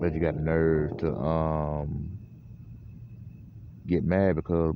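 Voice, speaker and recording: In a Southern US accent, a man speaks with a very deep, low pitch and a monotone, flat intonation. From US South. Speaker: radio show host. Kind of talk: casual monologue.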